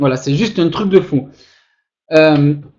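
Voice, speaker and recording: An animated man with a Toulouse accent, lively intonation, fairly slow pace. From southern France, Toulouse. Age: 20s. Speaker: online marketer. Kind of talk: webinar sales pitch. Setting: webinar.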